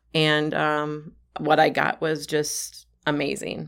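In a very clean recording with a silent background, a woman speaks at a very deep, low pitch with an Upper Midwest accent. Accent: Upper Midwest American. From Wisconsin. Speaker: health advocate. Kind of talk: casual chat.

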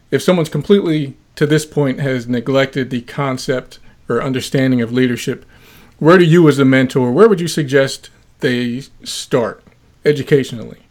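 Pitched fairly high, a man uses an ordinary speaking voice with ordinary pitch variation. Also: moderate pace. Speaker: podcast host; former law enforcement officer. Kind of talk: interview.

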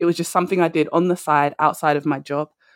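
This woman speaks in a London accent. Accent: London British. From London, England. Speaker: career and confidence coach. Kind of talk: casual interview chat. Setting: remote call from London.

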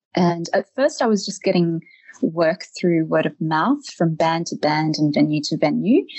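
With an Australian accent, a woman speaks at a fairly low pitch and a fairly slow pace. Her pitch variation is ordinary. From Australia, Eltham near Melbourne. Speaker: professional photographer. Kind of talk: interview.

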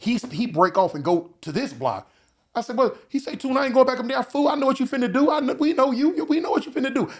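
A man with an American accent, talking at a very fast pace with very wide pitch swings. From Los Angeles, California. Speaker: former gang member. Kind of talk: casual chat.

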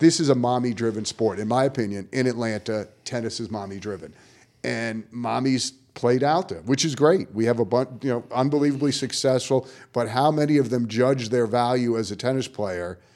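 In a very clean recording with a silent background, a man with an ordinary speaking voice talks at a moderate pace and medium pitch with ordinary pitch variation. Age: 50s. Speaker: tennis coach, podcast co-host. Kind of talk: podcast conversation.

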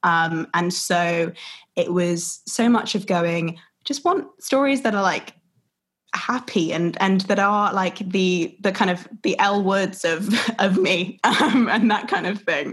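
At a very slow pace, a woman speaks in a somewhat breathy voice of medium pitch with ordinary pitch variation. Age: 20s. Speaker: theatre producer. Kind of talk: interview conversation.

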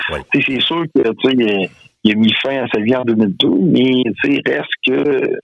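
A man talks in a Quebec accent. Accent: Québécois French. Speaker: metal musician. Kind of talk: casual interview.

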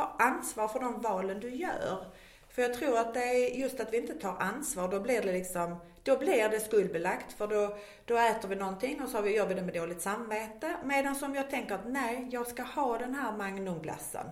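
A woman with a strong Scanian accent talks at a moderate pace in a fairly high pitch with lively intonation, with noticeable background noise behind her. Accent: Scanian Swedish, strong. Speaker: weight-loss program worker. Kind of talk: casual interview chat.

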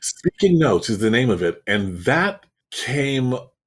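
Somewhat breathy and in a Canadian accent, the voice makes very wide pitch swings in a very clean recording with a silent background. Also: man. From Canada, Toronto. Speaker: public speaking coach and actor. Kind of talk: interview.

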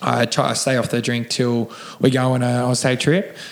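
At a moderate pace, a man with an Australian accent speaks at medium pitch. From Sydney, Australia (Cronulla). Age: 30s. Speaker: gym owner, recovering addict. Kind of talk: casual interview.

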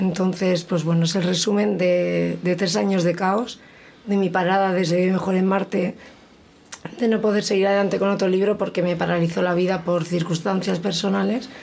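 At a moderate pace, a woman talks at a medium pitch with monotone, flat intonation and very even loudness, amid noticeable background noise and audible room echo. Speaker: poet. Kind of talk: casual chat.

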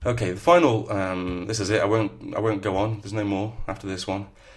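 A man with a northern English accent talks at a fairly quick pace, his fairly low voice somewhat breathy, with ordinary pitch variation. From northern England. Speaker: podcast host and novelist. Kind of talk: solo podcast talk on writing.

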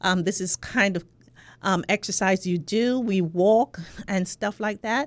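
A woman speaks at a fairly slow pace with medium pitch and ordinary pitch variation, and the recording is very clean with a silent background and a dry, close sound with no echo. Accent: Jamaican. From Jamaica. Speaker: sociology professor. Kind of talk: interview conversation. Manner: halting, many filler words.

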